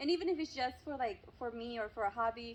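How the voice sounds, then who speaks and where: A woman with a Spanish accent talks fairly quickly in a high voice, her pitch rising and falling in an ordinary way. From Mexico. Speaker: YouTuber. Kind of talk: casual interview.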